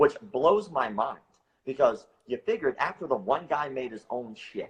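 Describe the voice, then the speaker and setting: With lively intonation and a somewhat breathy sound, this man keeps a moderate pace. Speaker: martial arts show host. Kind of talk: casual chat.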